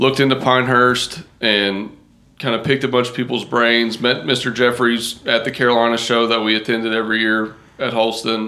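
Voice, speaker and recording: In an American accent, a man speaks at a moderate pace and medium pitch with a monotone, flat intonation. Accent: Southern US, noticeable to New Yorkers. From Kentucky, rural farming community. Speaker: golf course turf professional. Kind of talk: casual interview chat.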